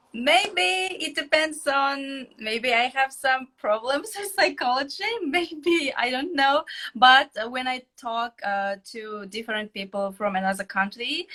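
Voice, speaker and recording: A woman speaks in a high, bright, sharp voice, raised and projected. Her pitch swings very widely at a fairly slow pace. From Kazakhstan. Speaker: interviewer, English learner. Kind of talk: interview. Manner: halting.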